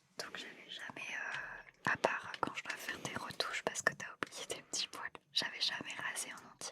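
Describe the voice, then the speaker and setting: Amid noticeable background noise, a man whispers at a moderate pace in a gentle, relaxed tone, his loudness swinging widely. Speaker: ASMR content creator who works in a hospital, shaves patients before surgery. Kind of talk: ASMR facial care role-play, addressed to a partner and the listeners. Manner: soft, gentle, relaxed.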